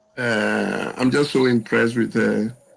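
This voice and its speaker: Noticeable background noise is present. Over it, a man talks at a fairly slow pace. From Ghana (Accra, Jamestown). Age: 70s. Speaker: birthday interview guest, business consultant. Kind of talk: interview.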